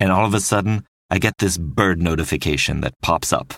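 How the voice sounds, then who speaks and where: The voice carries vocal fry and ordinary pitch variation at a moderate pace. The sound is dry and close with no echo, on a very clean recording with a silent background. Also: man. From French-speaking Switzerland. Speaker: podcast host. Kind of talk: scripted narration.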